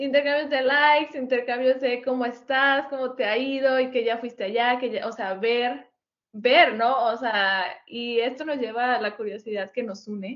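With a Mexican accent, a woman speaks at a moderate pace in a high pitch and fairly even intonation. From Mexico. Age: 20s. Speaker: podcast co-host. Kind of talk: casual chat.

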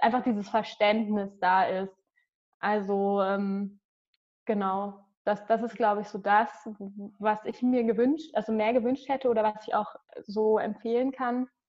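A woman's fairly high voice at a fairly slow pace, with fairly even intonation and long, frequent pauses. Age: 20s. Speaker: dance teacher. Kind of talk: interview. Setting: video call.

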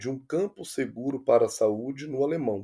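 A man's fairly high voice with a dark, mellow tone at a moderate pace, in a very clean recording with a silent background. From interior of Minas Gerais, Brazil. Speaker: nurse. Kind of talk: interview.

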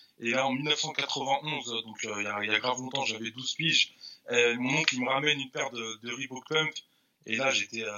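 Speaking at a moderate pace, a man with medium pitch keeps his intonation fairly even. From Paris southern suburbs (Villeneuve-Saint-Georges). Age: 40s. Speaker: sneaker reseller and shop owner. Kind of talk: casual interview chat. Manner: halting, many repetitions.

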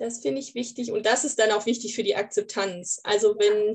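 Monotone, flat intonation from a woman with a fairly high pitch at a moderate pace. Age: 30s. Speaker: grief counselor. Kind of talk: casual interview.

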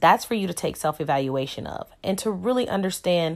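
A woman speaks in a plain, everyday voice. Her pace is moderate. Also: very clean recording, silent background. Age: 30s. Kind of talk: casual solo podcast talk.

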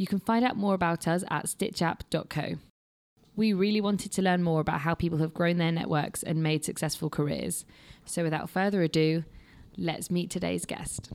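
A woman speaks in a plain, everyday voice at a fairly low pitch, with fairly even intonation and very even loudness. The recording is very clean, with a silent background. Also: moderate pace. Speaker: podcast host and intern. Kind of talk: scripted introduction; interview.

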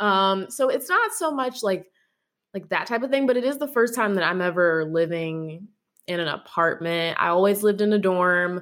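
The recording is very clean, with a silent background. A woman with an unremarkable speaking voice talks at a medium pitch and a moderate pace, with lively intonation. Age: 20s. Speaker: podcast host. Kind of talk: casual interview chat.

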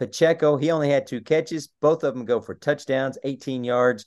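Against a quiet background, a man with a Texan accent speaks at a moderate pace and medium pitch, with ordinary pitch variation. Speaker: sports podcast host. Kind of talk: casual sports chat and score rundown.

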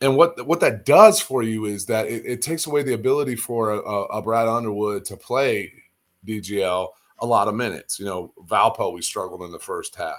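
A man with a medium pitch speaks at a fairly quick pace in an animated tone. His pitch variation is ordinary, while his loudness swings widely. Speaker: sports podcast co-host. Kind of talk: casual chat.

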